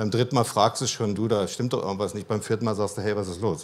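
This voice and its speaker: A man speaks very fast, and his pitch varies in an ordinary way. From Germany, mixed (Cologne, Berlin, Baden-Württemberg). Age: 50s. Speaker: missionary speaker. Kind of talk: sermon. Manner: calmer, less dynamic.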